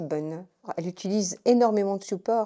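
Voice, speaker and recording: A woman with a dark, mellow tone and medium pitch speaks at a moderate pace with ordinary pitch variation, in a very clean recording with a silent background. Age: 60s. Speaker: retired nurse, cello student giving testimonial. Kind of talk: testimony. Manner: hesitant, many fillers and restarts.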